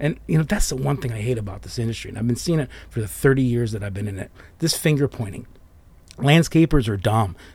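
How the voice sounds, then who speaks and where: Lively in intonation and somewhat breathy, a man of medium pitch talks at a very fast pace. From US Midwest, southwest Detroit. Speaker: arborist, former nurseryman, business owner. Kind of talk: casual interview chat.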